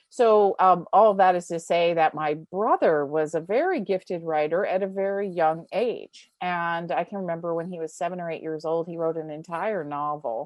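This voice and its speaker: Here is an ordinary speaking voice from a woman, fairly low in pitch. Her intonation is fairly even and her pace moderate. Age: 60s. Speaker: writer and teacher. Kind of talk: interview.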